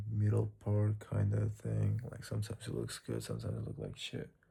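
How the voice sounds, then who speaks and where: A man speaks with a non-native accent. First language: not English. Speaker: vlogger. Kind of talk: casual monologue vlog. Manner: casual, hesitant with repetitions.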